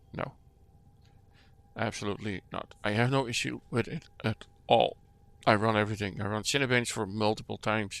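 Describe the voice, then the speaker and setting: A man's fairly low voice with vocal fry and long, frequent pauses. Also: fairly even intonation, moderate pace. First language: not English. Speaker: PC gaming hobbyist. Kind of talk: screen-recording demo commentary. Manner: halting, many fillers and restarts.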